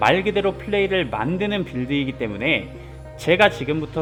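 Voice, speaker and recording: His pitch swings very widely as he goes along at a moderate pace. Music plays behind the man. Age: 30s. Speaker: gaming YouTuber. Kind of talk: video game guide narration.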